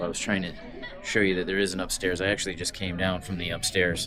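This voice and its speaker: Over music in the background and audible room echo, a man speaks at a very fast pace. His very deep, low voice stays monotone and flat. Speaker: travel vlogger and triathlete. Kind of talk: casual vlog narration. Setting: outdoors on ship deck at night; cruise ship theater. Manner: casual with many fillers; hushed, talking low.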